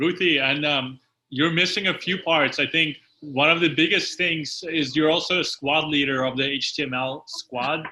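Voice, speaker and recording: The man's bright, sharp voice sits fairly high, moving at a moderate pace with fairly even intonation. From Ukraine. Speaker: company founder and host. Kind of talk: casual online Q&A hosting.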